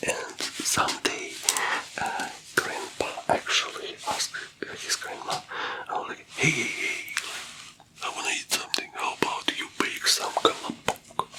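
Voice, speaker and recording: A man whispers at a fairly slow pace, leaving long, frequent pauses, while noticeable background noise carries on behind. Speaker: ASMR creator playing a financial advisor. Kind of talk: ASMR roleplay, soft-spoken storytelling. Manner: soft-spoken, whispery, friendly.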